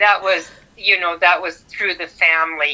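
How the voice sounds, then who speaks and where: A woman's bright, sharp tone at a fairly low pitch and moderate pace. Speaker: grandmother. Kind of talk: interview answer.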